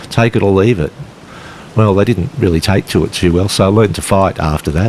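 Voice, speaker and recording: Someone speaks at a fairly quick pace with an Australian accent and ordinary pitch variation. Noticeable background noise runs underneath. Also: man, fairly low pitch for a man. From western Sydney, Australia. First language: Polish. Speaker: author and teacher. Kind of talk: casual conversation. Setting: outdoors, walking on a beach.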